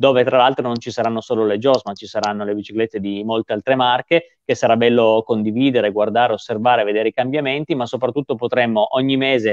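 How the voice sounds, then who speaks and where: The speech runs at a very fast pace with fairly even intonation, the sound dry with no echo over a quiet background. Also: man. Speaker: guest. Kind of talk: interview answer. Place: home room. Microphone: video call.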